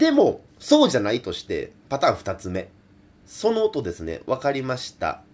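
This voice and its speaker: A man talks at a moderate pace. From Kansai. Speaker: folk singer. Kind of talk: solo radio talk. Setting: remote recording.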